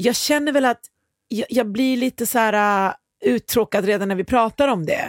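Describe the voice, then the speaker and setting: A woman's fairly high, plain, everyday voice at a moderate pace, with ordinary pitch variation, in a very clean recording with a silent background and a dry, close sound with no echo. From Iran. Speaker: podcast host, music industry professional. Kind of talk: casual chat.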